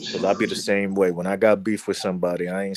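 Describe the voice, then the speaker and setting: A man with an American accent, fairly low-pitched and very fast, in a dry, close sound with no echo. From South Florida. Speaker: livestream guest, content creator. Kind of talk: casual chat. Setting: livestream with chat. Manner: animated.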